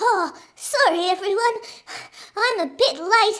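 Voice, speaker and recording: A woman puts on a squeaky character voice with an extremely high pitch. Her intonation is lively and her pace fairly slow. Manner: apologetic.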